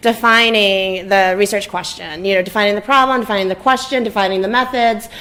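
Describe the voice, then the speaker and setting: Speaking at a very fast pace, a woman uses a fairly high pitch with ordinary pitch variation. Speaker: community member. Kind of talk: community forum discussion. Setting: public event at a library. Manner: loud; halting.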